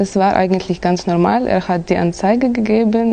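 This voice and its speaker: There is noticeable background noise behind this woman. Her pitch is medium and varies in an ordinary way. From Kazakhstan. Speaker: exam candidate. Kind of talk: oral language exam. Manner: halting.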